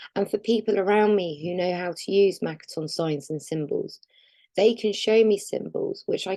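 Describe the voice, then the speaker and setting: A woman speaks at a moderate pace with ordinary pitch variation. Her tone is dark and mellow. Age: adult. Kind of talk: personal testimony. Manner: halting.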